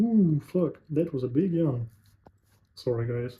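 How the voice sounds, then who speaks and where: Somewhat breathy and at a fairly slow pace, a man speaks with a Russian accent. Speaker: sales representative, vlogger. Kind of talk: casual monologue to camera. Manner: halting, searching for words.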